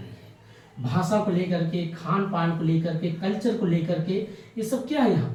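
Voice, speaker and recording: Lively intonation marks this man's high-pitched voice at a moderate pace. Audible room echo surrounds the recording. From India, Awadh region (Ayodhya belt, Uttar Pradesh). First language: Awadhi (speaking Hindi). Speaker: exam coaching teacher. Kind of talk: lecture. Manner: conversational, explanatory.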